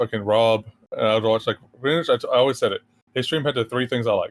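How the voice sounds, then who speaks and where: Fairly even intonation marks this man's speech. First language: sign language. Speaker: streamer and VR community figure. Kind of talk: casual podcast chat.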